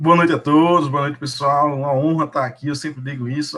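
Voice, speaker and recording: The speaker talks at a fairly quick pace with a northeastern Brazilian accent. The intonation stays fairly even. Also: man. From Brazilian Northeast. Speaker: emergency nurse, nursing manager. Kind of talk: live webinar panel talk.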